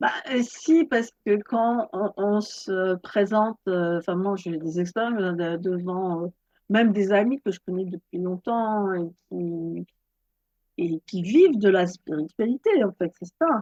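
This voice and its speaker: A woman speaks very slowly at a medium pitch with ordinary pitch variation, the sound dry and close with no echo. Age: 60s. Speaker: yoga teacher and author. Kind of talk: interview. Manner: halting.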